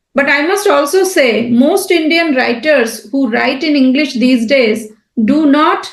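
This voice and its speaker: A woman's high-pitched voice with lively intonation at a fairly slow pace, with audible room echo. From India (Bengali). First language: Bengali. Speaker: writer and translator. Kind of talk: podcast interview. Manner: hesitant with fillers.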